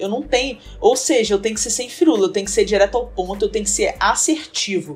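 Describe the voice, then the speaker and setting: A woman talks in a Rio de Janeiro accent, fairly high and with lively intonation. Noticeable noise sits in the background. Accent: carioca accent, noticeable. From Rio de Janeiro, Brazil. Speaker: presentation design entrepreneur. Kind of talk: casual interview chat.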